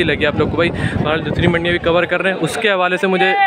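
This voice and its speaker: With crowd noise in the background, a man talks at a moderate pace, the sound dry with no echo. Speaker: market vlogger. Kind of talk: casual vlog commentary. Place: market. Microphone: phone near.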